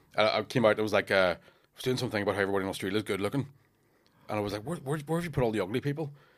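A man with a Northern Irish accent talks at a very fast pace in a fairly low pitch, his intonation lively and his loudness swinging widely, on a very clean recording with a silent background. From Northern Ireland, Lurgan. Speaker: comedian. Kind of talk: casual chat.

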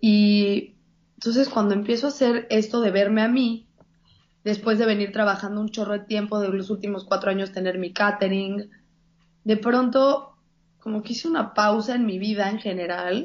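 A woman with a Mexican accent, medium pitch, moderate pace. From Mexico. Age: 30s. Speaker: plant-based chef. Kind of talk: casual interview. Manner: animated.

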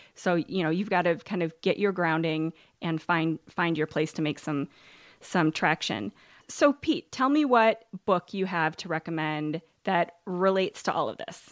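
On a very clean recording with a silent background and a dry, close sound with no echo, a woman with an unremarkable speaking voice talks at a moderate pace and fairly low pitch with lively intonation. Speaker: podcast host. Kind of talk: podcast interview, casual chat.

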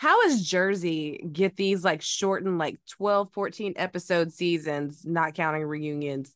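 A plain, everyday voice with an American accent, at a fairly slow pace with hardly any pauses and ordinary pitch variation. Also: woman, fairly low pitch for a woman. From US South, Georgia. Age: 30s. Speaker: actress and cosplayer. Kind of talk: casual chat.

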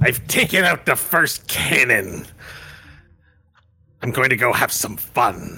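A man puts on a raspy character voice at medium pitch with lively intonation. He talks at a fairly slow pace, broken by long, frequent pauses. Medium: actual play.

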